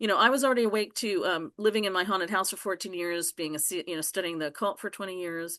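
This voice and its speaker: Against a quiet background, a woman speaks at a very fast pace. Her tone is bright and sharp. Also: medium pitch for a woman, ordinary pitch variation. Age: 60s. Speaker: self-described reverend and demonologist. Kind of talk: casual interview, personal testimony. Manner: halting, repetitive.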